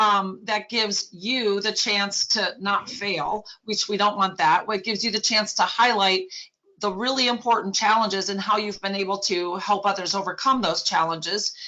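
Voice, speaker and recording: Noticeable background noise sits under a woman's voice. Her pitch is medium and her intonation fairly even. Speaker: business consultant hosting a partner meeting. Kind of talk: online meeting briefing. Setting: video call. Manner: fast.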